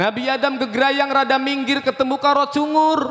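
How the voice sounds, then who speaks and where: A man talks at a fairly slow pace. His tone is animated. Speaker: Islamic preacher. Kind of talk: sermon.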